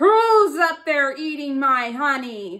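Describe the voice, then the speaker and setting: A woman puts on a character voice, talking at a high pitch and a very slow pace. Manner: growling.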